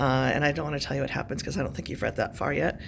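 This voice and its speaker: Audible room echo surrounds a woman whose voice is very deep and low. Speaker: high school English teacher. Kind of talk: recorded lesson. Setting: classroom. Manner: casual, many fillers.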